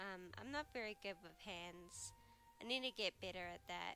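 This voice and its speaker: Her voice is quiet, and this woman has a bright, sharp tone. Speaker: digital artist. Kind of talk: casual talk over drawing video. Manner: hesitant, many fillers.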